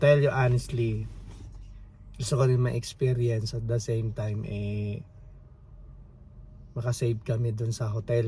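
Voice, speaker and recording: Dark and mellow in tone, a man speaks at medium pitch and a moderate pace. His delivery is monotone and flat, and somewhat breathy. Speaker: family vlogger. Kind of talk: casual vlog. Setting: outdoors at campsite, in van. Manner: quiet; halting.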